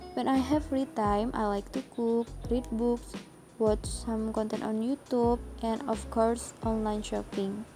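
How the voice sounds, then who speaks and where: Music plays behind a woman with a fairly high pitch. She speaks at a fairly slow pace with fairly even intonation. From Indonesia, Palembang. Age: 20s. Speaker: university student. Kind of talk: class presentation. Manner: scripted, reading.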